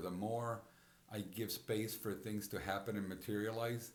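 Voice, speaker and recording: A man with fairly low pitch speaks at a moderate pace. Audible room echo and noticeable background noise fill the recording. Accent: Spanish. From Puerto Rico. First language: Spanish. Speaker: podcast host. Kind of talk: personal reflective monologue. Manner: halting, frequent repetitions and fillers.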